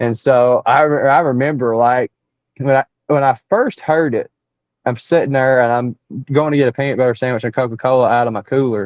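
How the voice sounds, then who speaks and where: With an Appalachian accent, a man talks at a fairly quick pace and a medium pitch. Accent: Southern US (Appalachian). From East Tennessee. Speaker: Bigfoot researcher. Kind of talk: interview storytelling. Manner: animated, repetitive false starts.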